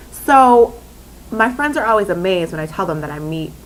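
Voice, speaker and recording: A woman with a Minnesota accent, her tone animated and her intonation lively. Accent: picked up Minnesota drawn-out O sounds. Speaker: vlogger. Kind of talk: casual vlog talk.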